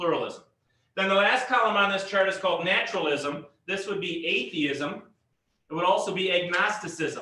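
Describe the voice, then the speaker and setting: Using a raised, projected voice, a man speaks at a high pitch and moderate pace with ordinary pitch variation. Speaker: pastor teaching a Bible class. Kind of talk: lecture.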